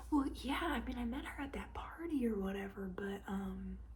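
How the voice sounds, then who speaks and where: A woman talks with a Southern US accent. Noticeable background noise runs behind her. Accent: Southern American. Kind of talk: ASMR roleplay, casual gossip with a friend. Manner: chatty, friendly.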